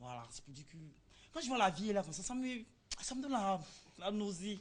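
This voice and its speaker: A somewhat breathy female voice with very wide pitch swings. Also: medium pitch for a woman, fairly quick pace, big swings in loudness. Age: young. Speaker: interviewee on TV show. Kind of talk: TV street interview, casual.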